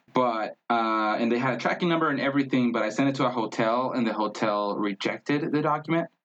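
Speaking very fast with hardly any pauses, a man has a Spanish accent. His medium pitch shows ordinary variation, and his loudness stays very even. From Mexico, Tijuana. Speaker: traveler, marketer. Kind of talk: casual interview chat. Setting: in-person recording, streamed on Facebook Live.

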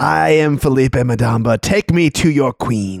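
A man in a put-on character voice projects loudly at medium pitch and a fairly slow pace. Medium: actual play. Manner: imperious, proud.

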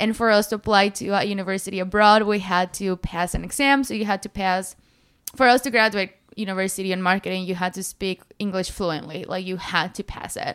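A woman with a Spanish accent and a medium pitch speaks at a fairly quick pace with fairly even intonation. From Mexico. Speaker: fitness influencer. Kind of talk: casual chat.

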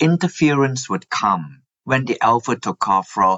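A fairly slow pace with very wide pitch swings. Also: man. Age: 60s. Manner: explanatory, says 'like that' often.

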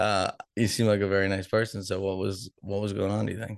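Against a quiet background, a man with an unremarkable speaking voice and fairly low pitch talks at a moderate pace with fairly even intonation. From Boston, US. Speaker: podcast host. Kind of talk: casual interview chat.

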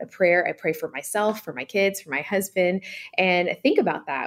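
This woman has a plain, everyday voice, talking at a moderate pace in a medium pitch. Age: 40s. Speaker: author and pastor's wife. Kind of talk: radio interview.

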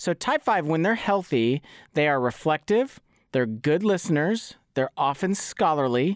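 At a fairly slow pace, a man talks with very wide pitch swings in a dry, close sound with no echo. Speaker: podcast co-host. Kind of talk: casual interview chat.

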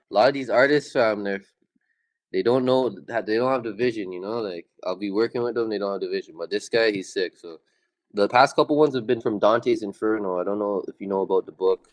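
A man with a Toronto accent at a very fast pace. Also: medium pitch for a man, ordinary pitch variation. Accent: Canadian (Toronto). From Toronto, Canada. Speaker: rapper. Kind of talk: casual chat.

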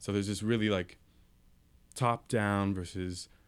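A man speaks in a monotone with flat intonation and a Californian accent. The recording is very clean, with a silent background. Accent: Californian American. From San Francisco Bay Area, San Mateo peninsula. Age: 20s. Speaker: radio co-host, urban planning student. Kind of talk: casual radio discussion. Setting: radio studio.

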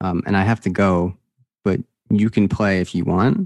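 The recording is dry and close with no echo as a man speaks at a very deep, low pitch with fairly even intonation. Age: 20s. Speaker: professional poker player and coach. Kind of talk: casual interview chat.

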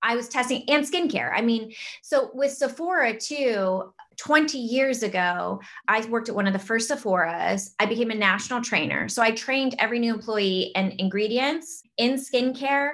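A woman's fairly high voice at a moderate pace, with lively intonation and an ordinary speaking voice. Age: 30s. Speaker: fitness and wellness entrepreneur. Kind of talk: casual chat.

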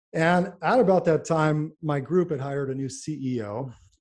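A man with a normal speaking voice and an American accent, at a fairly slow pace. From New York / New Jersey area. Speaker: neurologist and pharmaceutical company founder. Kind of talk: interview.

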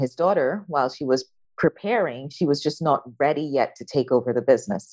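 A woman's very deep, low voice with lively intonation, at a fairly quick pace against a quiet background. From Guyana. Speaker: business consultant. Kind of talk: interview.

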